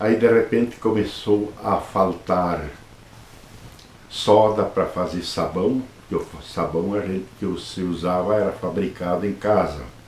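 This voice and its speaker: Very deep and low, a man's voice moves at a very slow pace with audible room echo. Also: ordinary pitch variation. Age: 70s. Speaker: Jesuit priest. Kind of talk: interview, life story.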